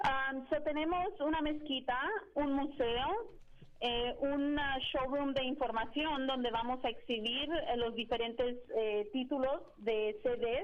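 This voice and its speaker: A woman's high-pitched voice with a Spanish accent, moderate in pace, very even in loudness and ordinary in pitch variation, over noticeable background noise. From Mexico. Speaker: Islamic outreach organizer. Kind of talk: interview. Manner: halting.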